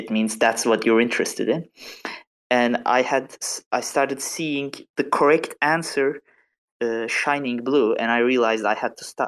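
A non-native accent at a moderate pace. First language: not English. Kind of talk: casual chat. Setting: online audio room.

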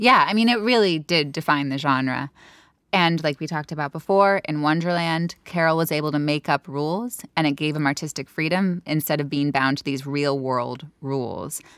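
A woman speaks in a very deep, low pitch with an American accent. The sound is dry and close, with no echo. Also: ordinary pitch variation, moderate pace, very clean recording, silent background. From San Francisco Bay Area, California. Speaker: podcast co-host. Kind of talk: casual chat.

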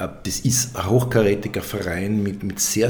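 This man's voice sits fairly low, and he moves at a moderate pace. Room echo is audible, and background noise is noticeable. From Upper Austria (Mühlviertel). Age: 40s. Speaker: architect. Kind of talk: interview. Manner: halting, many repetitions and fillers.

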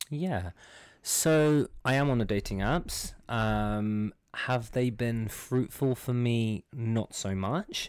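This man talks at a very slow pace with a London accent. The recording is very clean and the background silent. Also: medium pitch for a man, ordinary pitch variation. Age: 20s. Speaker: startup worker. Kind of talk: casual chat.

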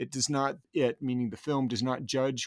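In a dry, close sound with no echo, a man with a plain, everyday voice speaks at a medium pitch and moderate pace. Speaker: podcast host, university film program director. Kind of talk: interview about films.

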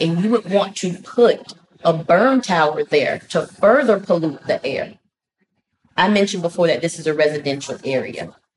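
Somewhat breathy, a woman speaks at a medium pitch. Her pace is moderate. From US South, Southeast Atlanta. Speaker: pastor and community activist. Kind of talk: interview.

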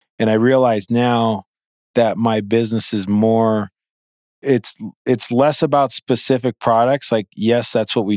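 An ordinary speaking voice with an American accent and fairly even intonation, in a dry, close sound with no echo on a very clean recording with a silent background. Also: man. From US Midwest. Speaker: podcast host and company founder. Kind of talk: casual interview conversation.

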